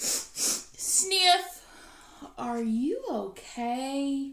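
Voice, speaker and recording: A woman's put-on character voice, high in pitch. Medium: read story. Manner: fretful, halting.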